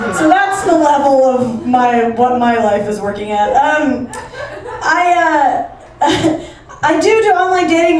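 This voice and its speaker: High-pitched woman's voice with noticeable background noise. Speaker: stand-up comedian. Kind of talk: stand-up comedy set to a live club audience. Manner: energetic, brash, comedic.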